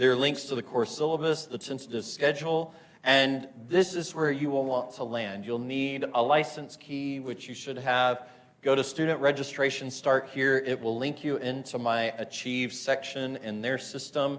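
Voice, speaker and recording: Speaking with an American accent, a man of medium pitch keeps a fairly even intonation at a moderate pace, with audible room echo and noticeable background noise. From US South, Murfreesboro, Tennessee. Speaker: physics instructor. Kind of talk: lecture. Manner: casual, many fillers.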